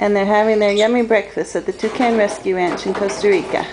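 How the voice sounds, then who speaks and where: A woman's moderately paced speech comes through with noticeable background noise. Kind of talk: casual explanatory narration. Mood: warm, cheerful. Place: garden. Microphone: phone near.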